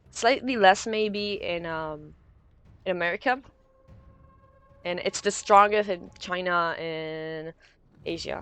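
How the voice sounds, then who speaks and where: A woman speaks at a very slow pace with long, frequent pauses and ordinary pitch variation. Her loudness swings widely, and music plays in the background. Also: medium pitch for a woman. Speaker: esports caster. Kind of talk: live commentary.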